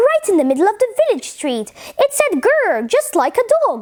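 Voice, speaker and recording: In a put-on character voice, a woman squeaks at an extremely high pitch with very wide pitch swings. She keeps a moderate pace and very even loudness. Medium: read story.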